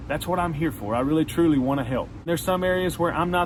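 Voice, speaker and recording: A man with a strong Southern US accent talks at a very fast pace with an animated tone and lively intonation. Noticeable background noise is present. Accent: strong Southern country. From Arkansas. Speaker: songwriter and music career coach. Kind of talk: motivational talk to camera. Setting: outdoors on back porch.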